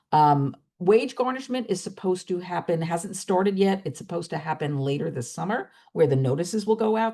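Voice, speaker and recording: A woman with a fairly low pitch, dark, mellow tone and vocal fry speaks at a fairly quick pace with very wide pitch swings. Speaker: student loan advisor, webinar host. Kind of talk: webinar presentation. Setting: online webinar. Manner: fast.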